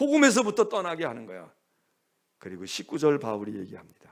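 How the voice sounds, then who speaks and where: Animated in tone, a man talks at a fairly quick pace. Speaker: senior pastor. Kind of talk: sermon.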